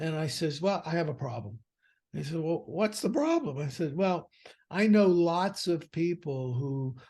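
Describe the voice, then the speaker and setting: Here is a man with a plain, everyday voice pitched fairly high. He talks at a fairly slow pace with lively intonation. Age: 60s. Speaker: financial advisor and firm founder. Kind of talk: podcast interview. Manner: conversational with fillers.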